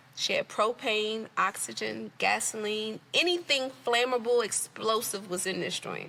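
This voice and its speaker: In an American accent, a woman with a fairly high pitch and a bright, sharp, animated tone speaks at a fairly slow pace with ordinary pitch variation. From Washington DC, Southeast. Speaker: entrepreneur. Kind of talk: interview storytelling.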